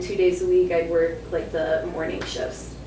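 Woman with an American accent, amid audible room echo and noticeable background noise. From Michigan. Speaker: podcaster. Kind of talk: storytelling performance. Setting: stage with audience.

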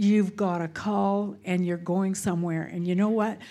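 In a western Canadian accent, a woman speaks at a medium pitch and a fairly slow pace, her dark, mellow tone carrying fairly even intonation in a very clean recording with a silent background. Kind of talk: church greeting. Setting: church with congregation.

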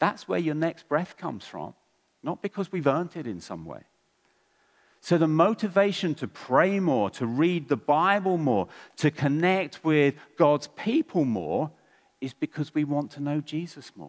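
In a very clean recording with a silent background and a dry, close sound with no echo, a man with a fairly high pitch speaks at a fairly slow pace, his lively intonation paired with big swings in loudness. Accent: English. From England. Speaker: preacher. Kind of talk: sermon.

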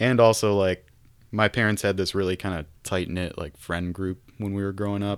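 Using an ordinary speaking voice, a man with an American accent talks at a moderate pace, with a fairly low pitch and fairly even intonation. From Michigan, US Midwest. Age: 20s. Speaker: rock musician. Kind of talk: casual interview chat.

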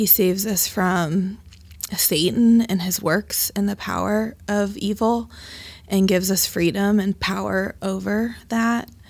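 Speaking with an American accent, a woman at medium pitch keeps a fairly slow pace. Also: fairly even intonation. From US Midwest, Dayton, Ohio. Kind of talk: interview. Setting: studio.

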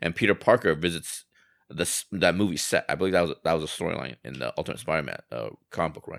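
A man speaks at a very fast pace in a very deep, low pitch with vocal fry, ordinary pitch variation and big swings in loudness. The very clean recording has a silent background and a dry, close sound with no echo. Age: 40s. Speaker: podcast co-host. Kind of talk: casual chat.

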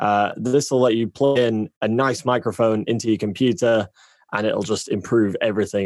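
A man with a British accent and ordinary pitch variation, in a dry, close sound with no echo. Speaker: audio engineer and voiceover freelancer. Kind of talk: casual chat. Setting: video call.

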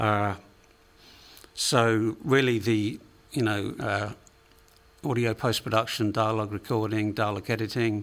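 A man with an English accent, monotone and flat, with long, frequent pauses. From England. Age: 50s. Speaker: recording studio owner. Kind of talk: interview. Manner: halting, many repeated words.

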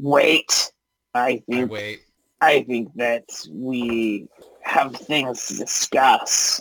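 This is a put-on character voice with a low-to-middle pitch. It moves at a very slow pace. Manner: demanding, threatening.

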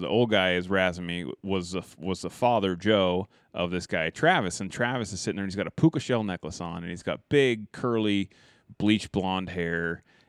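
This man has an unremarkable speaking voice, pitched fairly low. He talks at a fairly quick pace with ordinary pitch variation. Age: 30s. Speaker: rifle manufacturer and hunter. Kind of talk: casual interview chat. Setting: his trophy museum.

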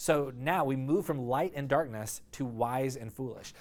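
A man with a fairly high pitch comes through on a very clean recording with a silent background. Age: 40s. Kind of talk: sermon. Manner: halting.

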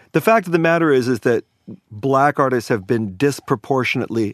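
An ordinary speaking voice, a man with an American accent talks at a fairly quick pace with a dry, close sound, no echo, and a quiet background. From New Orleans and Virginia. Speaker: record producer and sound engineer. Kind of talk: casual chat.

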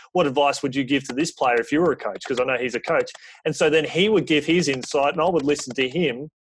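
Speech comes at a very fast pace with an Australian accent. Pitch varies in an ordinary way. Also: man, fairly high pitch for a man. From Australia, rural Victoria. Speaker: sports PR and communications coordinator. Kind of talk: podcast interview.

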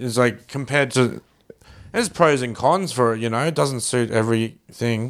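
A man with an Australian accent at a medium pitch, moderate pace and ordinary pitch variation. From Brisbane, Australia. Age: 30s. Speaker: comedian. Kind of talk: casual chat. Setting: at the host's home.

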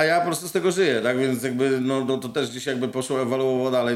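Very fast speech comes from a man at a medium pitch. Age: 40s. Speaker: muralist painter. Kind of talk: casual chat. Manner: halting, many fillers.

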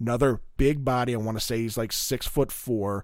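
A man in an ordinary speaking voice with an American accent, medium pitch and moderate pace, on a very clean recording with a silent background. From Maryland, Middle River near Baltimore. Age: 30s. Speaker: sports podcast co-host. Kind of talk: casual chat.

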